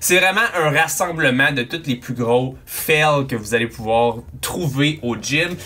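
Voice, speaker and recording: With ordinary pitch variation, a man is heard speaking. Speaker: fitness coach youtuber. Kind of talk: commentary. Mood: amused, joking. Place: home room.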